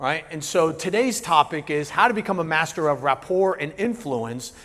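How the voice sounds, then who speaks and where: A man with an American accent speaks at a moderate pace. His fairly high voice has lively intonation. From New Jersey. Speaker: business coach and keynote speaker. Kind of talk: keynote presentation. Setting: stage with live audience. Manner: moderate, even delivery; casual, halting with many fillers.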